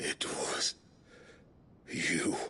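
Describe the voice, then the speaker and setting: This is a put-on character voice. It sounds raspy. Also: man. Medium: video game. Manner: haughty, theatrical.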